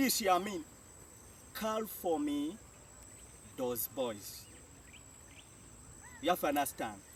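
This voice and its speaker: A man with a Jamaican accent speaks at a fairly high pitch with very wide pitch swings. His pace is very slow, with long, frequent pauses. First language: Jamaican Patois. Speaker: language teacher. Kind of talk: tutorial.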